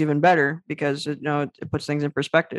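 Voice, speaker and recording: A man's loud, very fast speech, with a dry, close sound and no echo. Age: 20s. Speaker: author, young entrepreneur and public speaker with a muscular disease. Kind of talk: interview conversation. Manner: loud, energetic.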